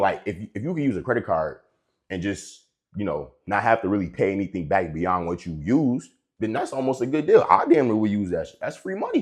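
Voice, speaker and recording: Against a quiet background, a man with a medium-pitched voice talks at a fairly quick pace in an animated tone. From US, inner city. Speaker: personal finance youtuber. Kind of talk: casual monologue. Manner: fast.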